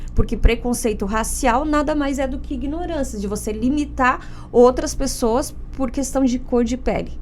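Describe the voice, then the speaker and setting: A woman with a Paraná accent speaks at a fairly slow pace with a fairly high pitch, ordinary pitch variation and vocal fry. Audible room echo surrounds her voice. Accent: Paraná interior. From interior of Paraná, Brazil. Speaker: lawyer and podcast host. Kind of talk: podcast interview.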